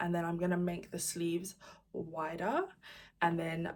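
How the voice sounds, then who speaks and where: A somewhat breathy voice holds a moderate pace. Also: woman. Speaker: crochet vlogger and pattern designer. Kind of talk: casual vlog talking to camera.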